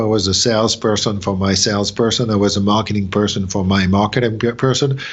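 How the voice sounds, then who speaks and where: This man talks at a medium pitch with a French accent. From France. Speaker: company president. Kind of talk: interview. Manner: halting.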